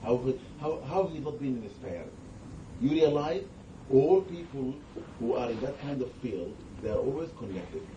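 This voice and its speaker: With a non-native accent, a man speaks at a fairly high pitch with lively intonation. He leaves long, frequent pauses, and audible room echo is present. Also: moderate pace. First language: not English. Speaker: Islamic scholar. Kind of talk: religious talk with Q&A. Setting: gathering with audience.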